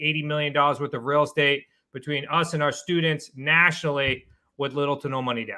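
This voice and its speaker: Spoken at a fairly quick pace, the words come with a New England accent. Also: man. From Massachusetts, New England. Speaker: real estate investor and coach. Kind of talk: interview.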